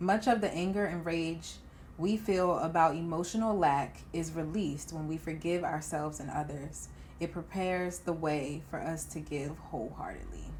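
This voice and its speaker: A woman's fairly low-pitched voice with vocal fry, ordinary pitch variation and a moderate pace. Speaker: podcast host. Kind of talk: book excerpt reading.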